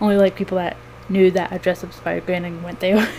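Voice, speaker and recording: A woman's voice over noticeable background noise. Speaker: cosplayer and fursuit maker. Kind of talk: casual vlog chat. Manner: quiet, soft-spoken; hesitant, many fillers.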